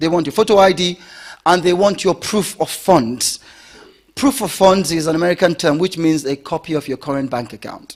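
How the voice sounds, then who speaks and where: Speaking with a British accent, a man uses a high pitch, ordinary pitch variation and a moderate pace. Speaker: property investment seminar presenter. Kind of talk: seminar presentation. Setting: stage with audience.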